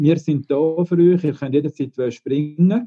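A man's fairly high voice at a moderate pace, with ordinary pitch variation, a plain, everyday voice. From Switzerland, Engadin. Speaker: laundry operations manager. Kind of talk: casual discussion. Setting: video call.

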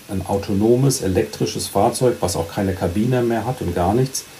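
There is noticeable background noise as a man speaks in a fairly low voice with ordinary pitch variation. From Germany, Badische Bergstraße. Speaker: truck industry manager. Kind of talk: casual interview. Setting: remote call. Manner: halting, repeats words.

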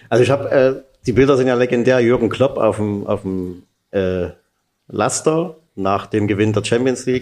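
A normal speaking voice from a man at medium pitch with ordinary pitch variation. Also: moderate pace. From Saxony, Freiberg. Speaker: sports journalist, podcast host. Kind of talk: interview.

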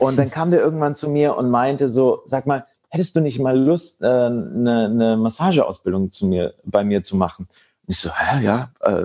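A man talks at a fairly slow pace in a plain, everyday voice. The recording is very clean, with a silent background. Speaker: meditation and tantra teacher. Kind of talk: casual interview.

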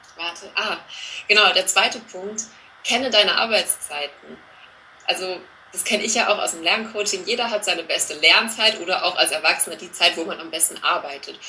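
A woman's voice with ordinary pitch variation and big swings in loudness over noticeable background noise. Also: medium pitch for a woman, fairly quick pace. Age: 30s. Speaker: teacher and learning coach. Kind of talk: interview.

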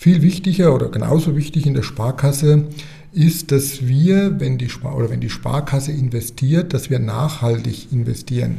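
A man with a fairly high pitch keeps a moderate pace, noticeable background noise around him. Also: ordinary pitch variation. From Germany, Rhön region (Lower Franconia, Bavaria). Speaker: bank sustainability officer. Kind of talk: podcast interview.

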